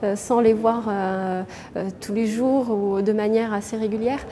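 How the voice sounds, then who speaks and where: Over noticeable background noise, the voice moves at a fairly slow pace with monotone, flat intonation. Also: woman. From France, Bordeaux. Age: 30s. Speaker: chocolatier and business owner. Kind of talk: interview. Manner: hesitant, many fillers.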